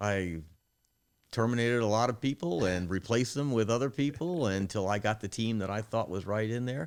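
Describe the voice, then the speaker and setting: The voice is a plain, everyday voice with ordinary pitch variation at a fairly quick pace. The recording is very clean with a silent background. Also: man, fairly low pitch for a man. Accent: American. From Maryland, US (Prince George's County). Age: 60s. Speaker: car dealership general manager. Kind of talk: interview conversation.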